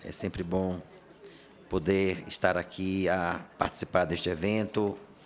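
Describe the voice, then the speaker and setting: A man speaks in a very deep, low pitch over noticeable background noise. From Bahia, Brazilian Northeast. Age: 60s. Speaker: judge. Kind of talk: formal panel speech.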